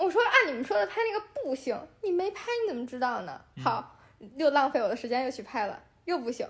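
A woman with a strong Beijing accent speaks high-pitched at a fairly quick pace, with very wide pitch swings. Noticeable background noise runs underneath. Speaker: beauty influencer. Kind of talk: casual interview chat. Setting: home basement living room, on a sofa.

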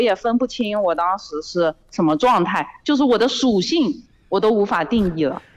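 This voice carries a Zhejiang accent and swings very widely in pitch. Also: woman. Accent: noticeable Zhejiang. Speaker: caller, student. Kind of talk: casual chat. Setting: phone call.

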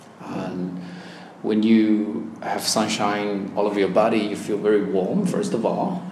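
A man with a Chinese accent at a fairly low pitch and fairly slow pace, with ordinary pitch variation amid noticeable background noise. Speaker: language exam candidate. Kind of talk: oral exam interview. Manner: hesitant, with fillers.

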